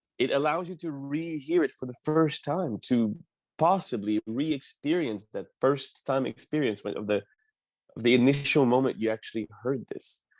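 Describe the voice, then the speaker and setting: Against a quiet background in a dry, close sound with no echo, a man with a Quebec accent talks at a moderate pace, his fairly high voice showing ordinary pitch variation. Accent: Québécois French accent in English. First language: French. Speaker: opera singer. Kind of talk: interview.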